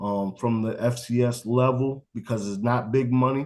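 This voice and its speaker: Using a normal speaking voice, a man talks at a medium pitch with fairly even intonation. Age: 40s. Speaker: college football coach. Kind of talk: interview. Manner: casual.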